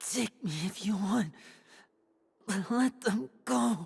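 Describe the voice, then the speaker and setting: Very wide pitch swings mark a man's raspy, put-on character voice, high in pitch and delivered at a very slow pace. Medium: video game.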